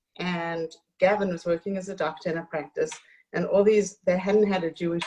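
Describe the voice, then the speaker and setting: A woman with a South African accent talks at a moderate pace with fairly even intonation. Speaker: author and community hostess. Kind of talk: interview conversation.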